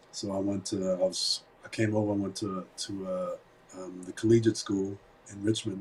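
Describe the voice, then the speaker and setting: Over noticeable background noise, a man speaks at a fairly low pitch and a moderate pace. His intonation is monotone and flat, while his loudness swings widely. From Germany. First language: German. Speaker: entrepreneur and investor. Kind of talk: interview. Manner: halting, many repetitions.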